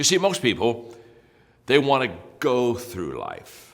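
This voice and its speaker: The voice shows vocal fry and swings very widely in pitch. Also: man. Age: 70s. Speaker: leadership speaker. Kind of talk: motivational talk.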